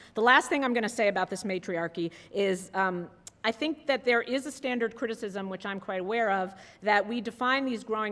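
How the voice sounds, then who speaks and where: This woman talks at a fairly quick pace. Her pitch varies in an ordinary way. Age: 40s. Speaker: journalist and author giving keynote. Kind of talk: keynote lecture. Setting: conference hall with audience. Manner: fast.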